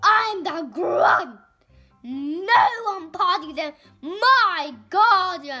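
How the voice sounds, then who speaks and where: Putting on a character voice, a woman bellows in a gruff, extremely high pitch at a very slow pace, with faint music in the background. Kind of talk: angry. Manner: bellowing, gruff.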